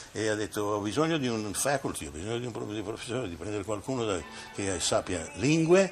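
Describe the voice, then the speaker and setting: Over faint music in the background, a man talks at a very fast pace with lively intonation and a fairly low pitch. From Italy. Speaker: opera bass singer and teacher. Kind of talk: interview answer. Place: home room. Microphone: old recording.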